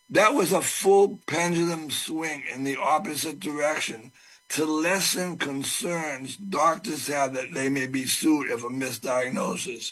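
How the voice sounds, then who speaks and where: There is noticeable background noise. A man speaks at a fairly high pitch with ordinary pitch variation. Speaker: testifier at a public legislative hearing. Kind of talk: public hearing testimony.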